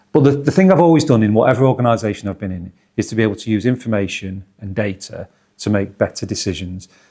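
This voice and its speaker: Talking at a very fast pace with a Manchester accent, a man uses a medium pitch with ordinary variation and a dark, mellow tone. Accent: Northwest Manchester. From northwest England, Oldham/Manchester. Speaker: football club chief executive. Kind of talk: interview.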